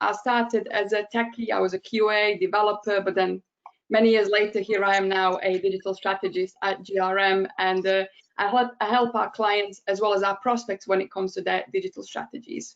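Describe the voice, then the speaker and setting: This woman's voice sits at a medium pitch. Her delivery is monotone and flat at a fairly quick pace. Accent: Bosnian. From Bosnia and Herzegovina. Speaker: digital strategist. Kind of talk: webinar presentation. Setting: online webinar.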